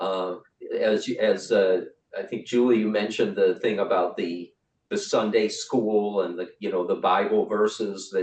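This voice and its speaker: Someone speaks at a fairly slow pace in a Cleveland accent. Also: man. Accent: Great Lakes, Cleveland. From US Midwest, Cleveland, Great Lakes. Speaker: writer and writing workshop leader. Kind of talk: online workshop facilitation. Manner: halting, many fillers and repeats.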